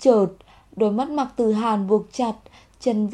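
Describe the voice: This is plain reading aloud. The intonation stays fairly even.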